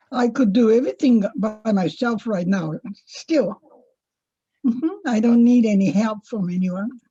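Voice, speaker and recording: Somewhat breathy and dark, mellow in tone, a woman with a fairly high pitch uses lively intonation at a fairly slow pace, with long, frequent pauses. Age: 80s+. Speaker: guest elder. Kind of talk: casual chat.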